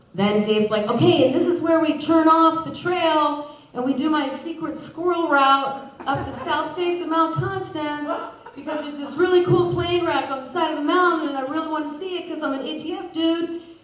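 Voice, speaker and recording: Amid audible room echo and noticeable background noise, a woman speaks high-pitched and animated at a moderate pace with ordinary pitch variation. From Kitsap County, Washington, US Pacific Northwest. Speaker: storyteller. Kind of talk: live storytelling. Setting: stage with audience.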